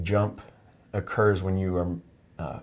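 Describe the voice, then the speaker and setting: Calm and relaxed, a man with an American accent speaks in a fairly low, somewhat breathy voice on a very clean recording with a silent background. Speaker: oculofacial plastic surgeon. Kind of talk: medical teaching demonstration. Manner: calm, relaxed, explanatory.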